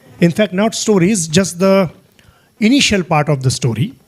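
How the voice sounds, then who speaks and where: Lively intonation marks a man's high-pitched speech, delivered at a moderate pace. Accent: Marathi. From Maharashtra, India. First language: Marathi. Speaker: guest speaker, program leader. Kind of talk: talk. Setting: auditorium with audience.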